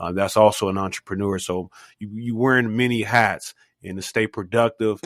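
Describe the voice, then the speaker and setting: A man with an ordinary speaking voice, fairly low in pitch, at a moderate pace with big swings in loudness, on a very clean recording with a silent background. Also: dry, close sound with no echo. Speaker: podcast host. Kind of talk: interview host talk. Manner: casual, upbeat.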